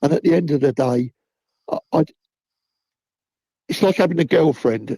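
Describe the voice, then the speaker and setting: A man with a Cockney accent speaks in a dark, mellow tone at a moderate pace. His pitch varies in an ordinary way, and the sound is dry and close with no echo. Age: 70s. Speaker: football fan. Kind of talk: casual chat.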